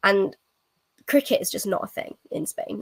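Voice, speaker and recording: A woman with an English Midlands accent speaks at a fairly high pitch. The sound is dry and close, without any echo. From England, Nottingham. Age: 20s. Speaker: cricket ambassador, university student. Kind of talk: podcast interview. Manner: hesitant, many fillers.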